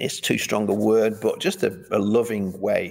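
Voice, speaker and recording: With a Mancunian accent, a man speaks at a fairly slow pace in a very clean recording with a silent background. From Manchester, England. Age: 50s. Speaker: pastor. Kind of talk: interview. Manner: halting.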